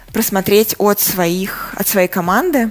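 A woman's medium-pitched voice, at a very slow pace with fairly even intonation. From Russia, Saratov. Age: 30s. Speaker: magazine editor and journalist. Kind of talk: interview.

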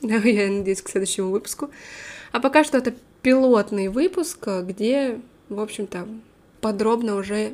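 A woman's fairly high voice shows ordinary pitch variation as she keeps a moderate pace. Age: 20s. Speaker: English teacher and podcaster. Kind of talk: casual monologue.

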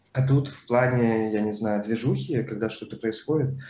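Dark, mellow male tone, pitch varying in an ordinary way. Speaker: librarian and podcast host. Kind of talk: casual chat.

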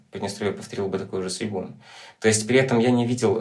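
A man with a fairly low pitch and ordinary pitch variation is heard in a room with audible echo. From Transnistria, Moldova. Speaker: documentary photographer. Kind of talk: casual chat.

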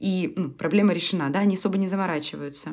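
A woman with a fairly low pitch and vocal fry swings very widely in pitch, recorded very cleanly over a silent background. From Russia. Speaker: podcast co-host. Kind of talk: casual chat.

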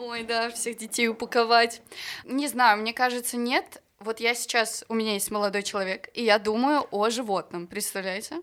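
In a very clean recording with a silent background, a woman with a normal speaking voice talks at a moderate pace, her fairly high pitch held in fairly even intonation. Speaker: singer. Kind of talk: casual chat.

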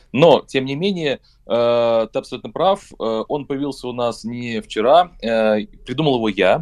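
With lively intonation, a man of medium pitch speaks at a very slow pace. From Saint Petersburg, Russia. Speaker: rock band vocalist. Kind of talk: radio interview. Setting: remote call.

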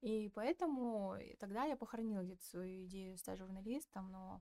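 A woman talks in a plain, everyday voice. Her pitch sits in the medium range with ordinary variation. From Kazakhstan, Petropavlovsk. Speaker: communications specialist and podcast producer. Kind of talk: casual interview chat.

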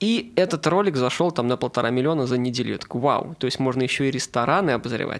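A man's medium-pitched voice with lively intonation and vocal fry. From Saint Petersburg, Russia. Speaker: food blogger. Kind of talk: casual chat.

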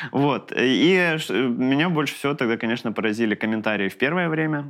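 With lively intonation, a male speaker moves along at a fairly quick clip. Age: 30s. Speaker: comedian. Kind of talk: casual chat. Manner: halting.

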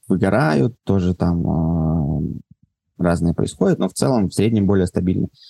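A dry, close sound without echo, at a moderate pace, with music playing behind. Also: man. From Moscow, Russia. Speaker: entrepreneur, event organizer. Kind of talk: casual interview. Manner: halting.

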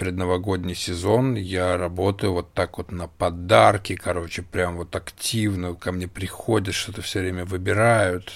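A man's very deep, low voice at a fairly slow pace, with fairly even intonation, on a very clean recording with a silent background. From Russia. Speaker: podcast co-host, small business owner. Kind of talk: casual chat.

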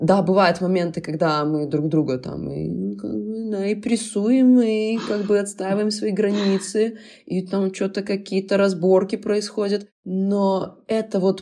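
A woman speaks at medium pitch in a dark, mellow tone. Her pace is fairly slow, and her pitch varies in an ordinary way. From Belarus. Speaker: cover dance school founder and osteopath. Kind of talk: casual chat.

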